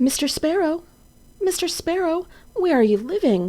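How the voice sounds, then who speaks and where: Putting on a character voice, a woman squeaks out her words at an extremely high pitch and a moderate pace. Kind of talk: bedtime story. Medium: read story. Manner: gentle, soft-spoken.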